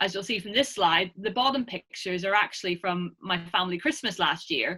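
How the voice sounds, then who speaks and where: A woman with an Irish accent speaks at a moderate pace and medium pitch, her tone bright and sharp. Her pitch swings very widely over a quiet background. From Ireland. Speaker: academic researcher; presenter. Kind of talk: lecture. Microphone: webcam.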